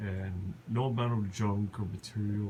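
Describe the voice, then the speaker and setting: Over noticeable background noise, a man speaks at a fairly low pitch. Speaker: vlogger. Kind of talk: personal vlog monologue. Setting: lying on the floor at home. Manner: halting.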